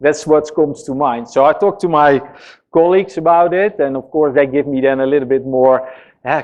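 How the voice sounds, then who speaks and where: A man with a Dutch accent, fairly high in pitch, with ordinary pitch variation. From Netherlands. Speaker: software engineering executive. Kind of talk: conference talk. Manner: casual, hesitant with fillers.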